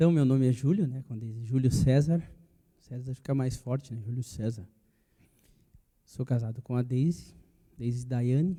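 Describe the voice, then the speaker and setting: At a medium pitch and moderate pace, a man speaks in a dark, mellow, somewhat breathy tone with ordinary pitch variation and long, frequent pauses. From Bento Gonçalves, Rio Grande do Sul, Brazil. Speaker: church member sharing testimony. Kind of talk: casual chat.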